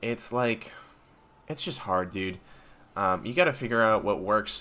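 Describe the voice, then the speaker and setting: A man's voice with ordinary pitch variation. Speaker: tech YouTuber streamer. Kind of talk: live stream chat answering viewer questions. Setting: live stream. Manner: many filler ums and hesitations.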